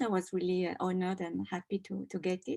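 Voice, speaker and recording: With a French accent, a woman speaks fairly quickly at a medium pitch, the sound dry and close with no echo. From France. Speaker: doctoral student and textile designer. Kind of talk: award presentation talk.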